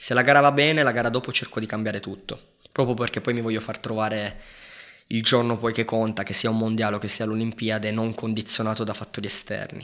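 Over a quiet background, a man talks very fast at medium pitch, monotone and flat, with a bright, sharp tone. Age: 20s. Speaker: professional judoka; podcast guest. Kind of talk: casual chat. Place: studio. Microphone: studio mic.

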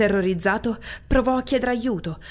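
Using an ordinary speaking voice, a woman talks at a moderate pace with a fairly high pitch. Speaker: audiobook narrator. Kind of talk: horror audiobook narration.

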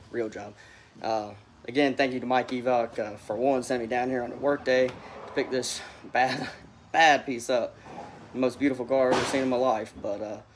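Over noticeable background noise, a man talks at a fairly quick pace in a flat, monotone voice. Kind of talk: casual vlog chat. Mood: pleased, relaxed. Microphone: phone near.

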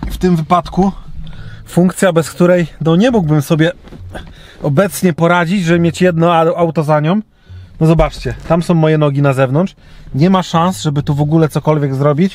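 A man speaks at a moderate pace in a high pitch, with fairly even intonation. The loudness stays very even, and the sound is dry with no echo. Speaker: vlogger. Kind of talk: casual vlog chat. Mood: relaxed, slightly complaining. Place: car. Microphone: phone near.

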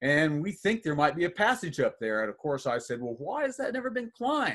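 Over a quiet background, a man's voice makes very wide pitch swings. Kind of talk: presentation storytelling. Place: home room. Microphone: webcam.

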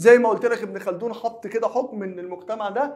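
A man with a Cairo accent talks at a fairly quick pace. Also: quiet background. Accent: Egyptian Arabic (Cairene). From Egypt. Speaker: high school teacher. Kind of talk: lecture. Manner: conversational, asks and answers own questions. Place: studio.

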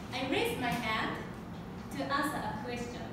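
Amid loud background noise and audible room echo, a woman with a Japanese accent speaks at a moderate pace. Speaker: public speaker. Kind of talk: prepared public speech. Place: classroom. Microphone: camera far.

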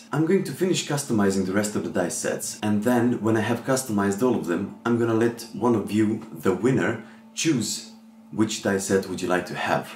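Ordinary pitch variation comes through over light background noise, with audible room echo. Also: man, fairly low pitch for a man, moderate pace. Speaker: tabletop RPG and crafts YouTuber. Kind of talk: casual talk to camera. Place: home room.

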